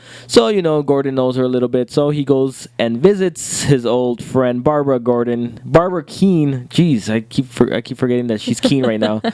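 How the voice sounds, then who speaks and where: This man's voice sits at a medium pitch, and his pitch varies in an ordinary way. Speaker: TV review show host. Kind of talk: casual chat. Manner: fast; halting.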